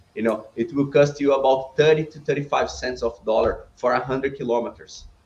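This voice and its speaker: A man's medium-pitched, somewhat breathy voice, fairly quick, with ordinary pitch variation. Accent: Brazilian. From Brazil. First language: Portuguese. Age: 30s. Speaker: business owner. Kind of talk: podcast interview.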